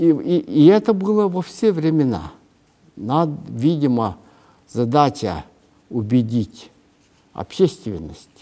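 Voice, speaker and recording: A man with a fairly high pitch and a dark, mellow tone speaks at a very slow pace. His pitch swings very widely, with long, frequent pauses. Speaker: writer. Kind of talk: interview. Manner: halting, many hesitations.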